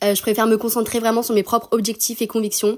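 A woman talks in a fairly high voice with monotone, flat intonation. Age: 20s. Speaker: student. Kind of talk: recorded testimony.

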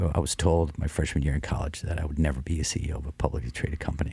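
Very fast and in a very deep, low pitch, a man speaks with vocal fry, a dark, mellow tone and monotone, flat intonation. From US small town. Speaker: coffee company CEO. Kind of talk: radio interview. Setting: studio.

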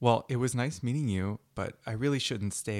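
A plain read-aloud, pitch varying in the ordinary way

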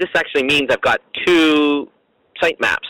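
A man speaks at a moderate pace with a Canadian accent. The sound is dry and close, with no echo. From Toronto, Canada. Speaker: caller with a website question. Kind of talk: recorded voicemail question. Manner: hesitant, many fillers.

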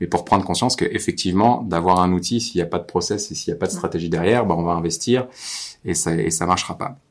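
Here a man talks at a very fast pace. His very deep, low voice shows ordinary pitch variation. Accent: Normandy. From Normandy, France. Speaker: marketing agency owner and podcast host. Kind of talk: casual interview. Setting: on location at client's office.

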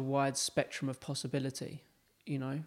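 A man's voice in a very clean recording, background silent. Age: 20s. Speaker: yoga studio owner and entrepreneur. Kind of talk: casual interview conversation.

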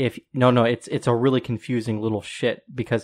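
At a moderate pace and in an American accent, the speaker uses monotone, flat intonation on a very clean recording with a silent background. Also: man. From Colorado, US. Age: 20s. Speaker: podcast guest. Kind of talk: casual chat.

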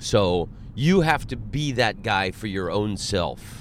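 A man with an American accent speaks in an unremarkable speaking voice, fairly low in pitch, with lively intonation. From Florida, Orlando. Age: 40s. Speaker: comedian. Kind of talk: casual chat. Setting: in a car.

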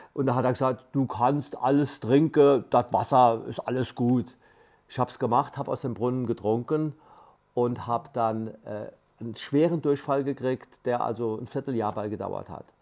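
Using an ordinary speaking voice, a man talks at a moderate pace with fairly even intonation and big swings in loudness. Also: medium pitch for a man. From Palatinate, Germany. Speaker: aid volunteer, retired teacher. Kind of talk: interview. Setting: studio.

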